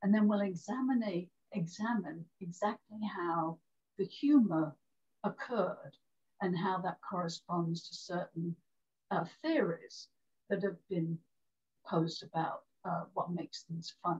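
A woman with a British accent speaks at a fairly slow pace in a somewhat breathy voice, using ordinary pitch variation and long, frequent pauses against a quiet background. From Great Britain. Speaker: storyteller. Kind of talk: interview. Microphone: video call.

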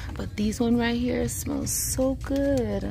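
Faint music can be heard behind the speech. A woman talks at a fairly slow pace. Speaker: shopping vlogger. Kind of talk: casual vlog chat. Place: shop. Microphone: phone near.

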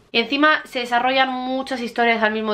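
In a monotone, flat intonation, a woman with a bright, sharp tone talks at a fairly quick pace. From Murcia, Spain. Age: 20s. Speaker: book YouTuber. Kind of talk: casual talk to camera. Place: home room. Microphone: camera far.

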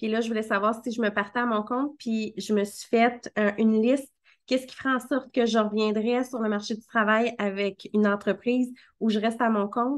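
Over a quiet background, a woman with a Quebec accent speaks with monotone, flat intonation. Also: fairly high pitch for a woman. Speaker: marketing coach and podcast host; marketing coach, podcast host. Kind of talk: casual interview. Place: home room. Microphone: video call.

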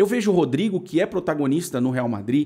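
Against a quiet background, a man speaks at a moderate pace. His tone is dark and mellow, with lively intonation. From Brazil. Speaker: football commentator YouTuber. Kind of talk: opinion vlog monologue. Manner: animated. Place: home room. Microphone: studio mic.

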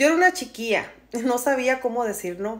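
At a moderate pace, a woman speaks with lively intonation and a warm, animated tone. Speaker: storyteller. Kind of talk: storytelling, reading a follower's personal story aloud in first person. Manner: warm, conversational, empathetic and animated. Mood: dramatic, gossipy storytelling. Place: home room. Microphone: phone near.

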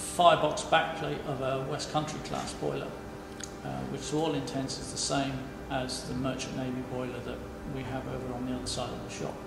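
With clear music in the background and audible room echo, a man talks at a fairly quick pace. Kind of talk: explanatory walkthrough. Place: workshop.

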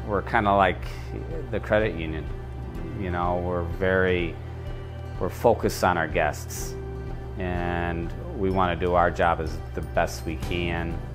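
Clear music plays in the background. The speaker goes at a fairly slow pace with ordinary pitch variation. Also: man, very deep, low pitch for a man. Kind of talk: interview answer. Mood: warm, proud. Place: hall. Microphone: lapel.

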